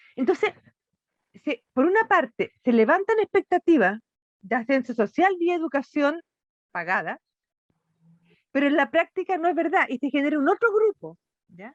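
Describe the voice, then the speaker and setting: A woman's high-pitched voice at a moderate pace, with very wide pitch swings, long, frequent pauses, and a dry, close sound with no echo. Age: 60s. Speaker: NGO director. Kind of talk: interview conversation.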